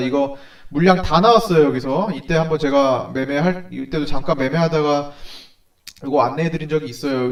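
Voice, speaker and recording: A man with a fairly high pitch for a man speaks at a fairly quick pace over noticeable background noise. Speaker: stock market analyst. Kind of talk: stock consultation video. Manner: fast.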